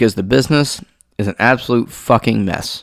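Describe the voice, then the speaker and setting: This man has a normal speaking voice, medium in pitch with lively intonation, captured on a very clean recording with a silent background. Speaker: MMA podcast host. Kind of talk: casual podcast commentary.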